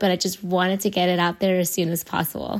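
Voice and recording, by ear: A raspy woman's voice, fairly low-pitched with little pitch movement, at a fairly quick pace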